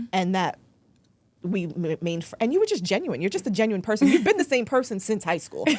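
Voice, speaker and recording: Speaking at a very fast pace, a woman with an American accent has a fairly high voice. Her pitch swings very widely. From New York, the Bronx, Jamaican family. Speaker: attorney. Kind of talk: casual interview chat.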